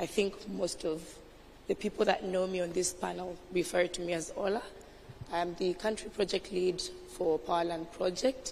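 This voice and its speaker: Through noticeable background noise, a woman speaks at a moderate pace and medium pitch with fairly even intonation. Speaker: project lead. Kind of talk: panel discussion.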